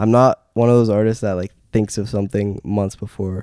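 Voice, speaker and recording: A man's fairly low, dark and mellow voice with a Canadian accent, at a moderate pace, in a dry, close sound with no echo. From Canada (Timmins, northern Ontario). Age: 20s. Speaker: singer-songwriter. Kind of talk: casual chat.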